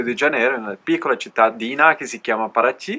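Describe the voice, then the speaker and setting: A man at medium pitch speaks with a bright, sharp tone. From Alto Adige, Italy. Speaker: cycle traveller. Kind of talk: interview. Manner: concise.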